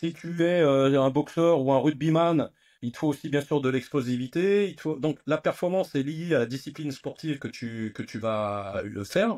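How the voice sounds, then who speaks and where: A man talks at a moderate pace with a fairly high pitch and ordinary pitch variation. The recording is very clean, with a silent background. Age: 60s. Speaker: nutrition and fitness entrepreneur. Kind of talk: interview conversation. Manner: hesitant with many fillers and repetitions.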